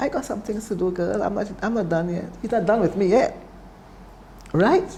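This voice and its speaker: Noticeable background noise surrounds a woman's voice. She has a medium pitch and ordinary pitch variation. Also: moderate pace. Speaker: cancer survivor. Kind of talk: testimony.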